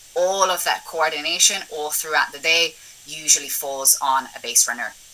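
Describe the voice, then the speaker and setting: Through noticeable background noise, a woman with a very deep, low pitch speaks at a moderate pace with ordinary pitch variation. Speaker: assistant director. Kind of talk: webinar talk.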